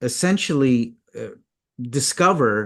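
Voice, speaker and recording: Lively intonation runs through this man's speech. His pitch sits fairly high. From Canada, Toronto. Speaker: mindset consultant. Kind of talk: interview. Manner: halting, many fillers and repeats.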